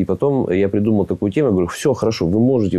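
Against a quiet background, a man talks at a very fast pace with fairly low pitch, ordinary pitch variation and a dark, mellow tone. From Russia, Tyumen; Russia. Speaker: athlete and entrepreneur; talk show guest. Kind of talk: talk show interview. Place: studio. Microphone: lapel.

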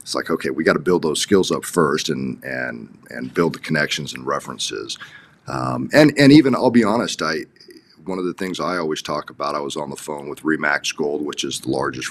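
Very deep and low, a man's voice moves at a fairly quick pace with ordinary pitch variation and big swings in loudness. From Los Angeles, US. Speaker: real estate agent. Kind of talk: interview. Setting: video call. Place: office. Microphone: video call.

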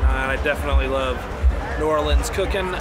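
A man's voice comes through dry and echo-free, with music playing in the background. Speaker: festival vlogger. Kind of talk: casual vlog chat. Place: street. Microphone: phone near.

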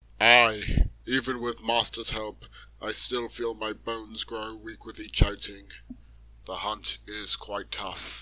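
A man puts on a cartoonish character voice at a medium pitch, speaking at a fairly slow pace. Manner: weary, gruff, kindly.

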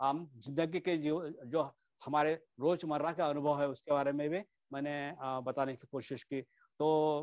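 Against a quiet background, the speaker talks at a fairly slow pace with a non-native accent and a flat monotone, in a dry sound with no echo. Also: man. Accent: non-native Hindi. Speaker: Buddhist Dharma teacher; dharma teacher. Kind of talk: Dharma talk. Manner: halting, many fillers. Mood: calm, reflective. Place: home room. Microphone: earbuds.

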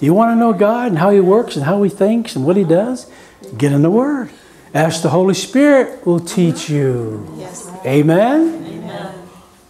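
At a fairly slow pace, a man speaks in a high voice with very wide pitch swings over light background noise. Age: 60s. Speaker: pastor. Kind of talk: sermon. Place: church. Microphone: lapel.

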